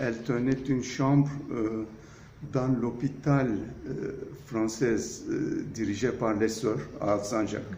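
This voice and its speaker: Speaking at a very slow pace in a room with audible echo, a man keeps a medium pitch and fairly even intonation. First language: Turkish (speaking French). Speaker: architect. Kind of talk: interview. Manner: hesitant, frequent fillers.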